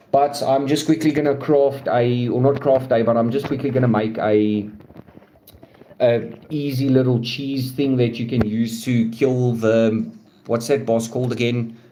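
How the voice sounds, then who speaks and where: Against noticeable background noise and audible room echo, a man talks at a medium pitch and a fairly slow pace with monotone, flat intonation. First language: not English. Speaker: gaming streamer. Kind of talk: live stream gameplay commentary. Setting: live stream. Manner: casual, halting with fillers.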